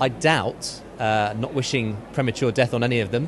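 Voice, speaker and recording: A man's voice with noticeable background noise. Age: young. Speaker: charity campaigner. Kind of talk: interview.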